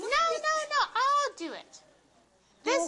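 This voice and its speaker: This is a put-on character voice. It sounds squeaky and extremely high in pitch. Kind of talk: children's puppet show. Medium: puppet show. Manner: friendly, explanatory.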